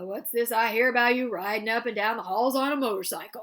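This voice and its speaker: A woman's put-on character voice, fairly high-pitched and very fast. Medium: read story.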